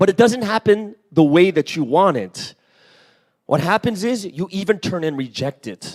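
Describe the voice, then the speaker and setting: Loud and animated, a man speaks at a high pitch and moderate pace with lively intonation, in a dry, close sound with no echo. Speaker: pastor. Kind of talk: sermon.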